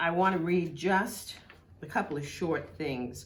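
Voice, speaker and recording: A woman with a New York accent, a fairly low pitch and a very slow pace amid noticeable background noise. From Brooklyn, New York. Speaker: historical society member. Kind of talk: reminiscence to camera. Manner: humorous, engaging.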